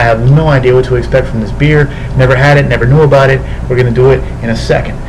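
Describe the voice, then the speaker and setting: A man talking at a very fast pace, with noticeable background noise. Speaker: beer reviewer. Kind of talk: casual vlog chat. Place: home room. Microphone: webcam.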